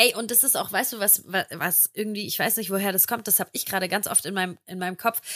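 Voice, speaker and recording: A woman talks at a very fast pace with hardly any pauses, her medium-pitched voice bright and sharp with fairly even intonation. The recording is very clean and dry, close with no echo and a silent background. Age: 20s. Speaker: podcast co-host. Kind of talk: casual chat.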